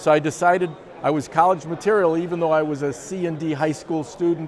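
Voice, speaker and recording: A man with an American accent at a moderate pace, over noticeable background noise. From US Midwest, Chicago suburbs, Illinois. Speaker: company co-founder. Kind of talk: personal storytelling interview.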